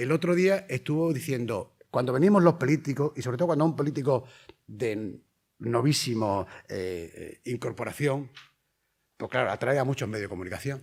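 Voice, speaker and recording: Lively intonation colors an ordinary speaking voice that keeps a moderate pace. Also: man, medium pitch for a man. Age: 60s. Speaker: primary school teacher and patient advocate. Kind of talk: conference lecture. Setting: conference hall with audience.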